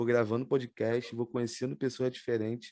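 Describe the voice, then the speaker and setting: Against a quiet background, a man with a strong Rio de Janeiro accent talks in a dark, mellow tone. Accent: strong carioca. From Rio de Janeiro, Baixada Fluminense (Nilópolis). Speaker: podcast host. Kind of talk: casual chat.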